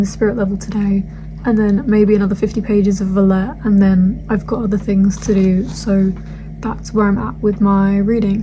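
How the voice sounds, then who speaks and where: Noticeable background noise accompanies this woman. She speaks at medium pitch and a fairly quick pace. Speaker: student book vlogger. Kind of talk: casual vlog. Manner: hurried.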